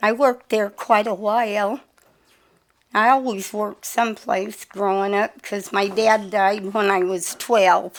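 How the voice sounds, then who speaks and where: A woman with an American accent speaks at a medium pitch and a fairly slow pace. Her intonation is monotone and flat. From Sacramento area, California. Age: 90s. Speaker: longtime local resident. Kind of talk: oral history interview. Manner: halting.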